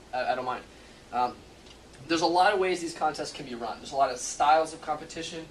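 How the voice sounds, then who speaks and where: Amid noticeable background noise and audible room echo, a man talks at a very fast pace with ordinary pitch variation. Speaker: security expert and hacking contest winner. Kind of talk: presentation. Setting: stage with audience. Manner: halting.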